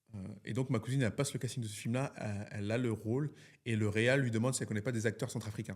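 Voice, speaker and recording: Very fast speech from a man, medium in pitch and somewhat breathy, on a very clean recording with a silent background. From France, Lyon, Central African heritage. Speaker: film director. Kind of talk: interview. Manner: hesitant, many fillers; animated.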